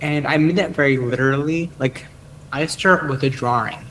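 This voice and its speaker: In an American accent, the words unfold at a fairly slow pace. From US Northeast, Boston area. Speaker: software developer. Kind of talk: interview. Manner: halting, many repeated words.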